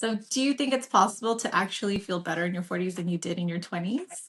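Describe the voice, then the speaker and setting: A woman speaks very fast at medium pitch with ordinary pitch variation. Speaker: registered nurse. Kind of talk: casual podcast conversation.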